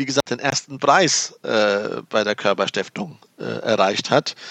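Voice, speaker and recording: A man talks at a fairly slow pace with ordinary pitch variation. The sound is dry and close with no echo, over a quiet background. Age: 50s. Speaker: economist and former entrepreneur. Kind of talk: casual chat. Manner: halting.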